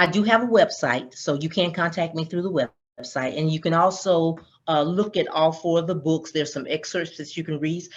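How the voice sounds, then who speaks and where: A woman with a Southern US accent talks fairly quickly at a fairly low pitch, her pitch varying normally, against a quiet background. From Georgia, US South. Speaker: author. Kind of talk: interview.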